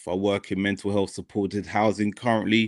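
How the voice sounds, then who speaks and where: A man speaks with a British accent at a fairly low pitch, in a flat monotone. The recording is very clean, with a silent background. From United Kingdom. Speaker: mental health worker. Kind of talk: podcast discussion.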